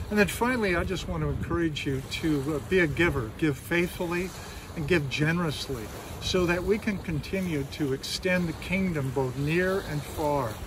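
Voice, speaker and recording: At a moderate pace and with ordinary pitch variation, the voice comes through dry with no echo against noticeable background noise. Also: man. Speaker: pastor. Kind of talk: sermon. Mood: warm, encouraging. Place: beach.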